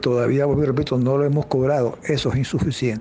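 Noticeable background noise sits under this man's voice. His pitch is fairly high and his intonation fairly even. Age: 70s. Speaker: pensioners' rights advocate. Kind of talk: interview. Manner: halting.

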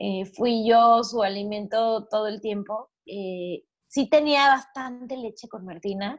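A woman's fairly high voice, ordinary pitch variation, very slow pace. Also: hardly any pauses, big swings in loudness. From Mexico. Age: 30s. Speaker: entrepreneur and podcaster, mother. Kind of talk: interview, casual chat.

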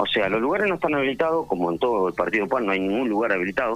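Noticeable background noise surrounds a man who talks at a very fast pace with very wide pitch swings. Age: 20s. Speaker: nightclub manager. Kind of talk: radio interview.

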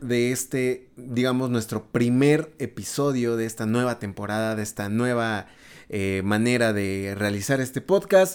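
A man's medium-pitched, unremarkable speaking voice at a fairly slow pace, in a very clean recording with a silent background. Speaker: podcast host. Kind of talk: casual chat.

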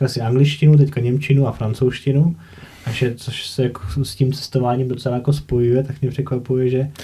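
Speaking at a fairly quick pace, a man has a medium-pitched, dark, mellow, somewhat breathy voice with monotone, flat intonation. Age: 30s. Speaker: podcast host, former medical worker. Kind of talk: casual interview.

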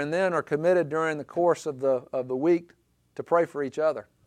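A man with an Alabama accent speaks at a fairly quick pace in a fairly high pitch. His intonation stays fairly even. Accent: Southern US (Alabama). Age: 50s. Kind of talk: talk to a men's group. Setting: live group session. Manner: halting.

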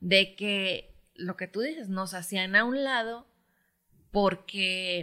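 A woman speaks very slowly in a bright, sharp tone at a medium pitch, with ordinary pitch variation. The recording is very clean, with a silent background. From Mexico, Michoacán. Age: 40s. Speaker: footballer's wife. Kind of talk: casual family chat.

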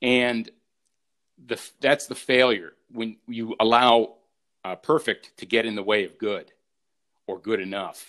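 Speaking at a fairly slow pace with long, frequent pauses, a man with an American accent keeps a medium pitch and fairly even intonation while his loudness swings widely. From United States. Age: 50s. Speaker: lawyer. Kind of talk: interview.

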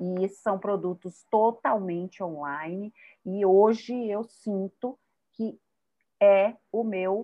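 A woman's medium-pitched voice in a Bahian accent, very slow, with fairly even intonation. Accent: Bahian Brazilian Portuguese. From Brazil, Bahia (Salvador). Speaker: podcast host, psychotherapist. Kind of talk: casual chat.

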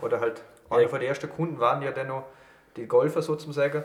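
Over noticeable background noise, a man with fairly high pitch talks at a very fast pace. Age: 20s. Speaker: podcast host and student. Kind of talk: casual chat. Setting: studio.

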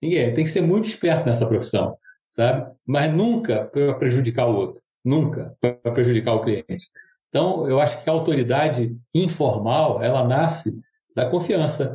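The voice has a dark, mellow tone and is somewhat breathy. Its intonation is lively. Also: man, fairly high pitch for a man, moderate pace, very even loudness. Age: 70s. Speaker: business consultant and mentor. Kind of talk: casual interview conversation.

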